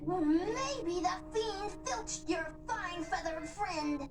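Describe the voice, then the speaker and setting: An extremely high, cartoonish character voice moves at a fairly slow pace over loud background noise. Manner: overeager, dramatic.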